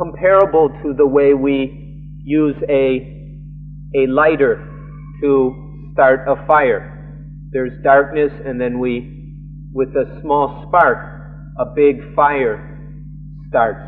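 A man's very slow speech with long, frequent pauses over faint background music. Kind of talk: live translation of a sermon. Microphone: old recording.

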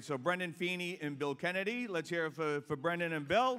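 A high-pitched man with a Boston accent and ordinary pitch variation. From South Boston, Massachusetts; Massachusetts. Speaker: master of ceremonies; event emcee. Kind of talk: emcee speech at awards luncheon. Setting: hotel ballroom with audience. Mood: jovial, joking. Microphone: handheld.

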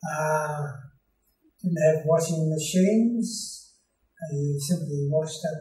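With music in the background and audible room echo, a man talks at a very slow pace with long, frequent pauses and ordinary pitch variation. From Australia. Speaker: retired clergyman. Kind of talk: interview answer. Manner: hesitant, many filler sounds. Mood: calm, reminiscing. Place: home room.

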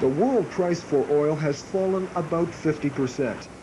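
A man speaks in a dark, mellow tone at a fairly high pitch, with ordinary pitch variation.

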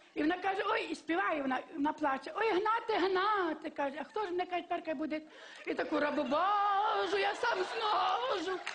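A woman's extremely high voice at a fairly quick pace. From Lviv, western Ukraine. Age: old. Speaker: comedy show contestant. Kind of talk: humorous storytelling on TV show. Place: stage. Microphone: headset.

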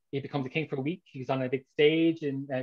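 A man with an Irish accent talks at a very fast pace in a monotone, flat intonation, his pitch fairly high, against a quiet background. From Ireland. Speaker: author; interviewee. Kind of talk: interview. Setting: video call. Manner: halting. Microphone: video call.

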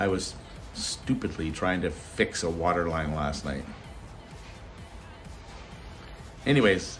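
Faint music plays in the background. A man speaks in a very deep, low voice. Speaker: van life vlogger. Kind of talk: casual vlog chat. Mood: cheerful, relaxed. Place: home room. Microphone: phone near.

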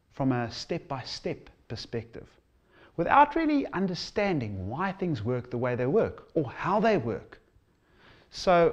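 Over a quiet background, a man talks at a fairly slow pace. His pitch swings very widely. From South Africa. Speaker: fly tying instructor. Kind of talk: promotional trailer presentation; promotional presentation to camera. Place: home room.

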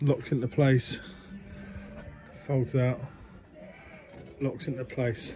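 A man speaks at a fairly slow pace. Clear music plays in the background. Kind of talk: casual vlog chat. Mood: relaxed, lightly humorous. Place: workshop. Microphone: phone near.

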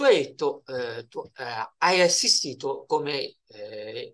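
A man is speaking. The background is quiet. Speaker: interviewer. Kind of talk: interview questions. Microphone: video call.

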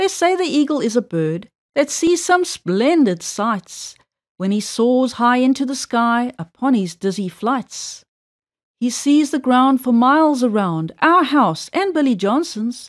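On a very clean recording with a silent background, a woman with a high pitch speaks at a fairly slow pace in a playful tone, her pitch swinging very widely. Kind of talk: reading aloud a children's rhyming poem. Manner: rhythmic, sing-song, playful storybook delivery.

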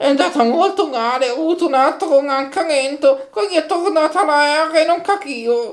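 At a moderate pace, a man performs a cartoonish character voice at an extremely high pitch. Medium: puppet.

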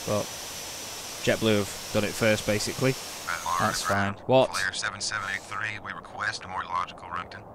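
A man with a relaxed tone talks over noticeable background noise. His pitch is fairly low, and his intonation is fairly even. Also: dry sound with no echo. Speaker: gaming YouTuber. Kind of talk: gameplay commentary with simulated air traffic control radio calls. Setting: home recording with game on computer. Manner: rapid, clipped, businesslike radio phraseology, switching to relaxed chatty asides; multitasking, hurried and slightly flustered under pressure. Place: home room. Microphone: headset.

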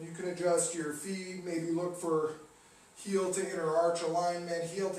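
A man with a high pitch, heard with audible room echo and light background noise. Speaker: yoga instructor. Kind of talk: guided yoga class, giving cues. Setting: online video class. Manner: calm, steady, directive cueing; casual, friendly, slightly halting. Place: home room. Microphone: camera far.

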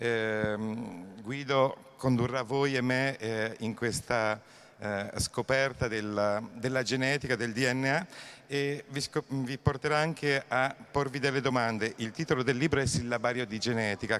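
A man's medium-pitched voice at a fairly slow pace, fairly even in intonation, with long, frequent pauses. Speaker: festival host and moderator. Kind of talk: formal introduction. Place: hall. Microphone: handheld.

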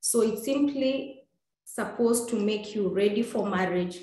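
A woman's voice carries audible room echo. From Kenya, Maasai community. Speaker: human rights activist and author. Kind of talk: interview answers.

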